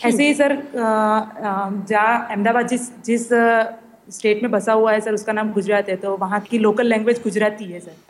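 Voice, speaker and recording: A woman speaks in a plain, everyday voice, fairly high in pitch, with fairly even intonation and big swings in loudness. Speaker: blind guest. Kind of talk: radio interview. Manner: formal, polite.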